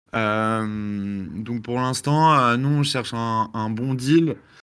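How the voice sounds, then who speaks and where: At a very slow pace, a man speaks fairly low in pitch with a bright, sharp tone. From France. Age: 30s. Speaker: crypto company relationship manager. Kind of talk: online community Q&A.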